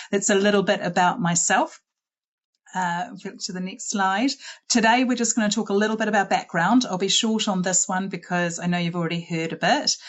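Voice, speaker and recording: Fairly quick speech from a woman of medium pitch, with a New Zealand accent and ordinary pitch variation. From New Zealand, Auckland. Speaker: school head. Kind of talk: presentation. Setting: online webinar.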